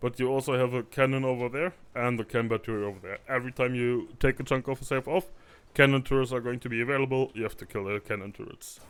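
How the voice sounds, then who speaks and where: At a very fast pace, a man speaks with medium pitch and fairly even intonation. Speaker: gaming video creator. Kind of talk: gameplay commentary. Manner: quiet at times.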